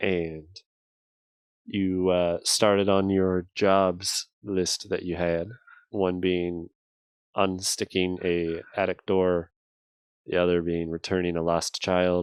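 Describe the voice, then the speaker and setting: A man speaks very slowly in a very deep, low voice, monotone and flat, with long, frequent pauses. The sound is dry and close with no echo, and the recording is very clean with a silent background. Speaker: game master. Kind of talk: casual chat.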